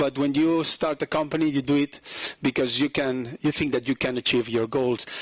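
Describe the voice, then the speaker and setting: A fairly high-pitched male voice with a dry, close sound and no echo, over noticeable background noise. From Catalonia, Spain (Lleida). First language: Catalan/Spanish. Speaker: company founder. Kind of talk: investor presentation. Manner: halting, many fillers.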